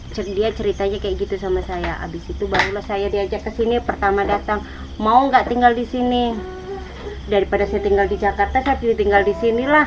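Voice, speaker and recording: A woman talks at a fairly quick pace with a Javanese accent. Noticeable background noise is present. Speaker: villager receiving charity visit. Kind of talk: casual interview.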